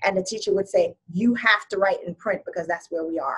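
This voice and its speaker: With an American accent, the somewhat breathy voice moves at a moderate pace. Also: woman. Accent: can switch Jamaican accent on and off. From Jamaica, then New York from age nine. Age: 40s. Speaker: podcast guest. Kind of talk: interview conversation.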